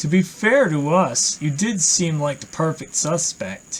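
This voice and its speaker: This put-on character voice sits at a middle pitch. The pace is fairly slow. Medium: game stream. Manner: formal, brisk.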